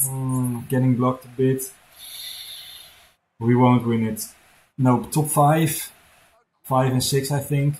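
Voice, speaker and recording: Somewhat breathy and medium in pitch, a man with a Dutch accent speaks at a very slow pace with fairly even intonation and long, frequent pauses. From Netherlands. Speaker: gaming streamer. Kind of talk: live gameplay commentary. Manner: halting.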